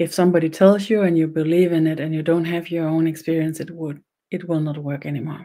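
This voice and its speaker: Pitched fairly low, a woman with a Danish accent speaks in a dark, mellow tone with flat, monotone intonation. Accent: Danish accent, noticeable. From Denmark. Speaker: spiritual teacher, shaman. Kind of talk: online webinar ceremony, spiritual teaching. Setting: online webinar. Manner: slow, simple speech; halting, repeats words.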